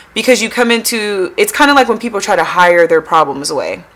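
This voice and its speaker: Noticeable background noise sits behind the speech. A woman talks with an American accent. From US Pacific Northwest, Tacoma, Washington. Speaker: psychologist. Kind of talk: casual interview.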